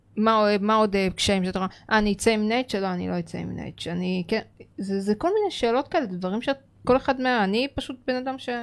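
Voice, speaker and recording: At a fairly quick pace, a woman speaks at a fairly high pitch with ordinary pitch variation, in a plain, everyday voice. The recording is very clean, with a silent background. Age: 30s. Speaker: podcast co-host. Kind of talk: casual chat. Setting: studio.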